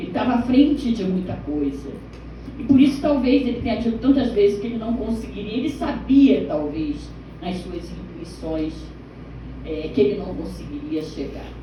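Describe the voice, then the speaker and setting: Amid noticeable background noise and audible room echo, a woman speaks at a moderate pace with big swings in loudness. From Rio de Janeiro state, Baixada Fluminense. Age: 60s. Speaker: teacher, audience member asking a question. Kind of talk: audience question at a film screening Q&A. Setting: cinema screening event with audience.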